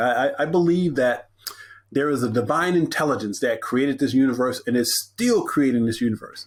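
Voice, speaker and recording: A man with an ordinary speaking voice talks at a fairly quick pace and a fairly high pitch. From Texas, Corpus Christi. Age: 60s. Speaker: motivational speaker. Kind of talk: podcast interview.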